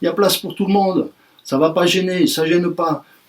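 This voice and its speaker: Pitched high, a man's voice moves at a fairly quick pace. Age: 60s. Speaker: trade union representative. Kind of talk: union speech to workers. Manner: animated.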